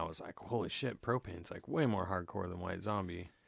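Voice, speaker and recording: On a very clean recording with a silent background, a man with an American accent talks at a fairly quick pace in a very deep, low voice. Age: 30s. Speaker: co-host, guitarist and guitar builder. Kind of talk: casual chat.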